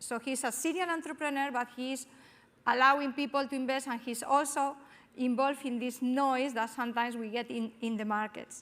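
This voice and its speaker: A woman speaks fairly quickly in a Spanish accent, her pitch high. Her intonation stays fairly even. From Spain. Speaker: panel moderator, business school academic. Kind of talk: panel moderation. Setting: stage with audience.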